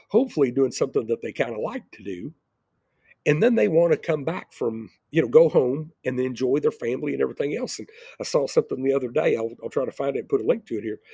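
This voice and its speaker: Very fast male speech with big swings in loudness and a dry, close sound with no echo. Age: 60s. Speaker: entrepreneur and video blogger. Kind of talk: casual monologue. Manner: rambling, repeats words.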